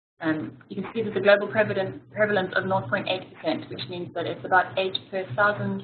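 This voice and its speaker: A woman with a South African accent at a fairly quick pace. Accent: gentle South African. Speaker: physiotherapist. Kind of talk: webinar presentation. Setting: online webinar.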